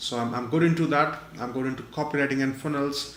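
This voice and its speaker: With audible room echo and noticeable background noise, a man speaks at a very fast pace with fairly even intonation. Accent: non-native. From India. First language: not English. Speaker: online marketer and webinar presenter. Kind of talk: webinar presentation. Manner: frequent fillers, halting.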